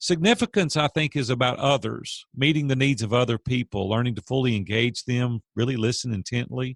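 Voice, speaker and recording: A man with an unremarkable speaking voice at a moderate pace, ordinary pitch variation, and a dry, close sound with no echo in a very clean recording with a silent background. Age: 50s. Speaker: business coach and CEO. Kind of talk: interview.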